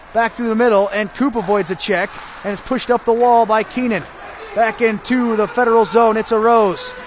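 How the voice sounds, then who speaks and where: A man talks in a high voice with an American accent and fairly even intonation. Crowd noise sits in the background. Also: fairly quick pace. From Indiana, USA. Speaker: aspiring sports broadcaster. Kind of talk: hockey play-by-play commentary. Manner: fast.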